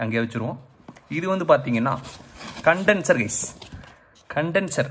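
Over light background noise, a man talks at a fairly high pitch with lively intonation. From Tamil Nadu, India. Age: 30s. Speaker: gamer and tech YouTuber. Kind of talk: casual unboxing talk to camera. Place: home room. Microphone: phone near.

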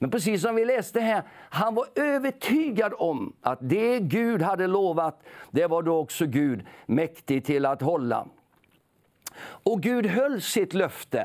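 Very slowly, a man speaks at high pitch with very wide pitch swings and very even loudness. The background is quiet. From Sweden, Småland (Nybro area); Småland, Sweden. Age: 60s. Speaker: preacher. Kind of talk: sermon. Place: studio. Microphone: lapel.

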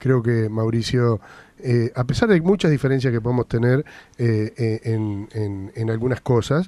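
In a dry sound with no echo, a man with a medium pitch and a dark, mellow tone talks at a fairly slow pace. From Argentina. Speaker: radio host. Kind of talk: radio interview. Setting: radio studio. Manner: halting. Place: studio.

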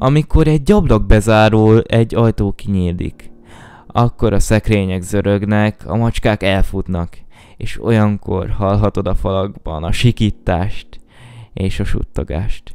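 A dark, mellow tone carries the speech at a fairly slow pace with ordinary pitch variation. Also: man, fairly low pitch for a man. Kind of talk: scripted creepypasta reading aloud, ghost story telling. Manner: slow, hushed, eerie and suspenseful.

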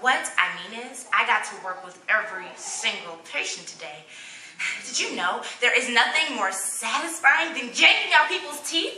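A high-pitched woman's voice with very wide pitch swings, audible room echo and light background noise. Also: moderate pace. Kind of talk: dramatic comic monologue in character. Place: hall.

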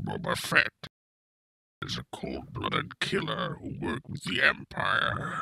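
In a raspy, put-on character voice, a man speaks at a fairly slow pace. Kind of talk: dramatic character line.

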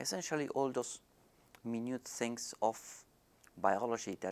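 This man has an unremarkable speaking voice. He keeps a moderate tempo and a medium pitch. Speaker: professor. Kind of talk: interview. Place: office.

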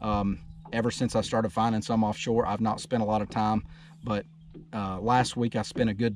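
Talking at a fairly quick pace, a man keeps a fairly low pitch with little pitch movement.

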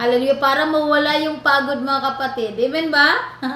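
A woman speaks over noticeable background noise. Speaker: online prayer program host. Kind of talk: fervent prayer and preaching. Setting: online prayer program.

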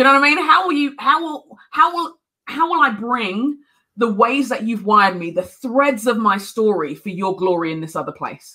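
A woman with a London accent, bright, sharp tone, very wide pitch swings and big swings in loudness. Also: moderate pace, quiet background. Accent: British (London). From London, England. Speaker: speaker, author; speaker. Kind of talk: sermon; interview answer. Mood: earnest, faith-filled encouragement. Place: home room.

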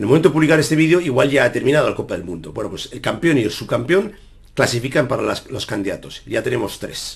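A man talks at a very fast pace in a fairly high pitch with vocal fry. His pitch swings very widely and his loudness shifts in big swings. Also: quiet background. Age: 40s. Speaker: chess player and YouTuber; YouTuber. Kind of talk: casual Q&A monologue to viewers. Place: home room. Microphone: webcam.

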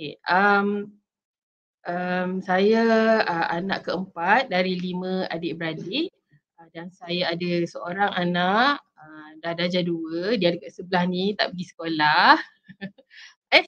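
A woman speaks very slowly, her loudness swinging widely while her pitch varies in an ordinary way. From Malaysia, Shah Alam; Malaysia. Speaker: PhD student sharing her story; guest. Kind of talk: interview testimony. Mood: friendly, smiling. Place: home room. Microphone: video call.

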